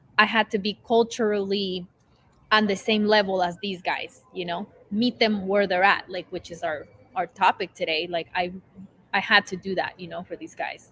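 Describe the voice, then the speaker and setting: The speaker has a Spanish accent and a moderate pace. Their loudness swings widely. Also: woman, medium pitch for a woman, fairly even intonation. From Nicaragua. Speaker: recovery sponsor. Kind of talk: casual chat.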